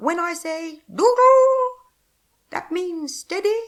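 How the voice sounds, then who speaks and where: A squeaky put-on character voice at an extremely high pitch and very slow pace. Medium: read story.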